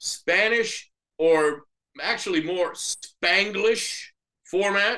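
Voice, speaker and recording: A man's raised, projected voice, bright and sharp in tone, high in pitch and very slow in pace. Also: ordinary pitch variation. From US Northeast, North Jersey. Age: 60s. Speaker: bilingual sports broadcaster. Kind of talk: podcast interview.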